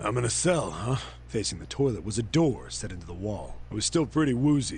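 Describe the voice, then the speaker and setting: Putting on a gruff character voice, a man speaks fairly low and fairly quickly against clear background noise. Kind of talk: hard-boiled voice-over. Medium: machinima. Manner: gruff, swearing.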